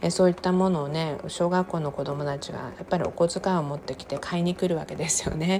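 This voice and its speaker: Noticeable background noise sits behind a woman's voice. She talks very fast at a fairly low pitch. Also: fairly even intonation. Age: 50s. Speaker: podcaster. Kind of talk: casual monologue. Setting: home kitchen. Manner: chatty, laughing.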